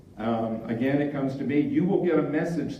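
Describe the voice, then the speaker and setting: A man talks fairly slowly at a medium pitch with ordinary pitch variation, amid audible room echo and noticeable background noise. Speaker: club volunteer presenter. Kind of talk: conference presentation.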